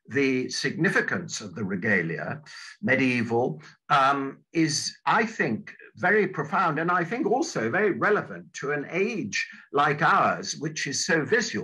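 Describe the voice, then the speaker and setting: A man with a southern English accent speaks at a fairly slow pace in a bright, sharp tone with vocal fry and very wide pitch swings. The background is quiet. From southern England. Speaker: church minister and retired divinity professor; church minister, retired divinity professor. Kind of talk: lecture. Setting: video call. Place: home room. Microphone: video call.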